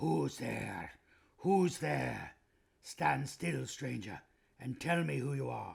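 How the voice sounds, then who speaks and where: In a put-on character voice, a man growls at a fairly low pitch, raspy and very slow, with long, frequent pauses. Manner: menacing.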